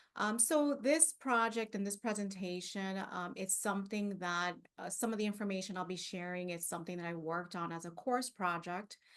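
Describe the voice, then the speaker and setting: At a moderate pace, a woman speaks with a medium pitch. Her pitch variation is ordinary. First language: not English. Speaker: librarian. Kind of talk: conference presentation. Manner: halting.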